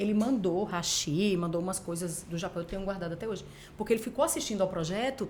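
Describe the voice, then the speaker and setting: Here a woman speaks at medium pitch with ordinary pitch variation. Her pace is very fast. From Paraíba, Brazilian Northeast. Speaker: TV journalist and news anchor. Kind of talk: casual interview chat.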